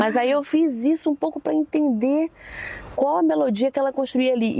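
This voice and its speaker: Her pitch swings very widely as this woman talks, the sound dry and close with no echo but with noticeable background noise. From Brazil, Rio de Janeiro suburbs (Realengo). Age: 40s. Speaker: singer and composer. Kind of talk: public conversation on campus.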